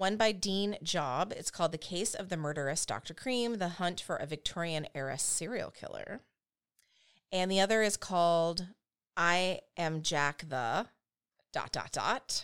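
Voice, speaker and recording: In a very clean recording with a silent background, a woman with an unremarkable speaking voice, medium pitch and an American accent talks at a fairly slow pace with ordinary pitch variation. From United States. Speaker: true crime podcast co-host. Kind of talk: casual storytelling.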